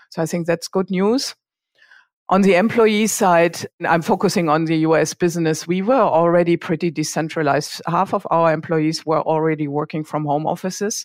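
In a German accent, a woman speaks at a fairly low pitch and moderate pace with ordinary pitch variation. The sound is dry and close with no echo, a very clean recording on a silent background. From Germany, small town. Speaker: payments company executive. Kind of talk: interview.

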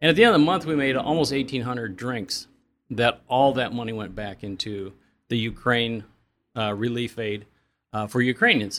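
A man at a medium pitch with a Midwestern American accent, ordinary pitch variation and a moderate pace on a very clean recording with a silent background. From Indiana, Elkhart County. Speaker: coffee shop owner. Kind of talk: interview.

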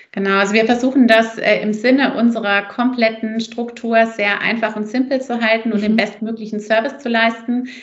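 Over noticeable background noise, a woman speaks at a fairly quick pace with hardly any pauses, a fairly high pitch and monotone, flat intonation. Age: 30s. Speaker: company founder and mother. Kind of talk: casual interview.

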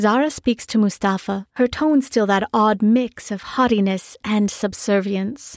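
Text simply read aloud

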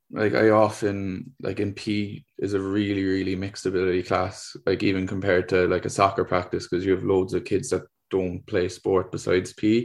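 Against a quiet background, a man with a Cork accent speaks at a moderate pace in a fairly low voice. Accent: Cork Irish. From Ireland, Cork. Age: 20s. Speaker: PE teacher and tennis coach. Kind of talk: interview. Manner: hesitant, many fillers.

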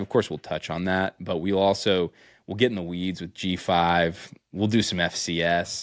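A man with an American accent speaks in a very deep, low voice on a very clean recording with a silent background. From central Pennsylvania. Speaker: high school football coach, podcast host. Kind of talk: casual chat. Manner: animated.

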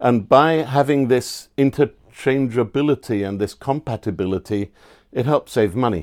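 A man at a fairly slow pace, on a very clean recording with a silent background. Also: dry, close sound with no echo. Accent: English. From England. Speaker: standards auditor. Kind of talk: interview explanation. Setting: on location at a dive center.

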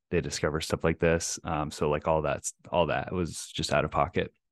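With an American accent and vocal fry, a man speaks at a very deep, low pitch in a dry, close sound with no echo over a quiet background. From Texas, Plano (North Dallas). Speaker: real estate investor. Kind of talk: interview.

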